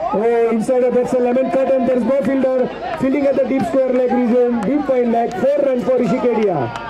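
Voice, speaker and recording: A man's extremely high-pitched, animated and enthusiastic voice at a fairly quick pace, very even in loudness, with crowd noise in the background. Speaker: cricket commentator. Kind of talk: live commentary. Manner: animated, enthusiastic play-by-play with excited praise.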